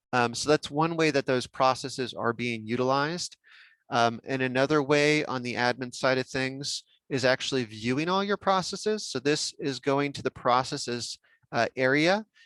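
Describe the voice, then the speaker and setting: Recorded very cleanly, dry and close with no echo and a silent background, a man with an American accent and a plain, everyday voice speaks at a moderate pace and medium pitch with ordinary pitch variation. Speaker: software workshop trainer. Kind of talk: technical training workshop.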